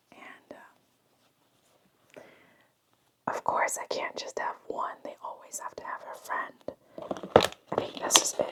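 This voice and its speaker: A very slow whisper with long, frequent pauses throughout. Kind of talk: whispered ASMR toy haul, casual talk to camera. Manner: whispered, soft.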